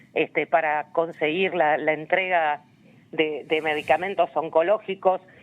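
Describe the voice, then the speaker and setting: A woman's fairly low-pitched voice. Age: 60s. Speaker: human rights activist. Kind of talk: interview. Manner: hesitant, many fillers and repetitions.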